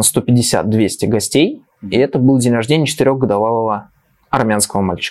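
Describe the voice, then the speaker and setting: At a moderate pace, an unremarkable speaking voice delivers fairly even intonation. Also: man. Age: 30s. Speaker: children's science show presenter. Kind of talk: casual chat. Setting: studio.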